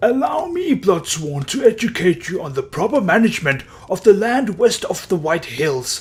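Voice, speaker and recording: Putting on a character voice, a man speaks high for a man with very wide pitch swings. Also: moderate pace. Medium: read story. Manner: condescending, lecturing.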